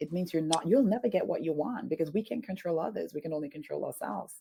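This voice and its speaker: Very fast, a woman talks in a very deep, low voice with a dark, mellow tone. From Saint Lucia, Caribbean. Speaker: leadership coach. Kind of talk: interview. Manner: animated.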